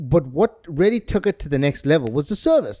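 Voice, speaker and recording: Speaking at a moderate pace with a South African accent, a man uses a high-pitched voice with a dark, mellow tone, recorded dry and close with no echo. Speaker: podcast co-host. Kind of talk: casual chat. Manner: animated.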